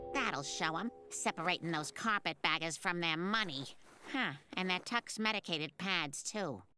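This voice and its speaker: The voice is a cartoonish character voice at middle pitch. It moves at a moderate pace. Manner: smug.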